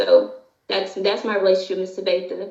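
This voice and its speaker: Here a woman talks at a medium pitch. Her intonation stays fairly even. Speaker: domestic violence survivor, former church member. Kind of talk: testimony. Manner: partly reading from notes.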